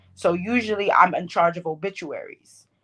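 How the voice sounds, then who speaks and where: This woman speaks at a medium pitch with a Bronx accent. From New York, the Bronx. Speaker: poet. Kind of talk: podcast interview.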